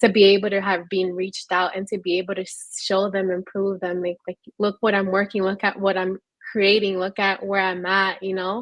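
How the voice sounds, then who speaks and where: A woman with a Spanish accent talks at a moderate pace in a medium pitch, her intonation monotone and flat. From New York City. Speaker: panelist. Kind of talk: panel discussion.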